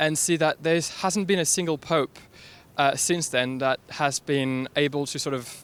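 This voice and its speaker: In a French accent, the speaker talks at a fairly slow pace with fairly even intonation, the sound dry and close with no echo. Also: man, fairly high pitch for a man. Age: young. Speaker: staff writer. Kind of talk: street interview. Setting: outdoors.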